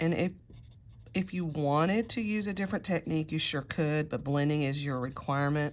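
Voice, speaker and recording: A woman speaks in a very deep, low pitch. Her pace is moderate and her pitch variation ordinary. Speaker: art teacher. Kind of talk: tutorial.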